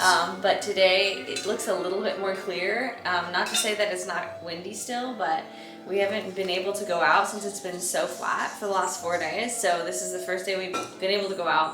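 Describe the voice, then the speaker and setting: A woman with an American accent speaks at a medium pitch with fairly even intonation and hardly any pauses. Music plays in the background. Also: moderate pace. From San Diego, California. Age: 20s. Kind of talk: casual talk to camera.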